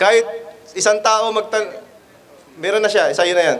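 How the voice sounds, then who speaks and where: Over noticeable background noise, a man talks very fast in a high pitch with ordinary pitch variation. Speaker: Islamic street preacher. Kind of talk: street preaching Q&A.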